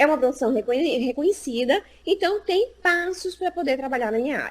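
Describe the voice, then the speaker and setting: Against noticeable background noise, a woman with a high voice talks at a fairly quick pace with lively intonation. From Brazil, Recife (Northeast). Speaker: psychologist and job market specialist. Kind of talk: interview in a live stream. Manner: animated.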